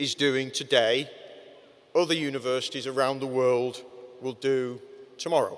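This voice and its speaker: A man with a Manchester accent, at a moderate pace. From northern England, Manchester. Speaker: commencement speaker. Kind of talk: commencement address.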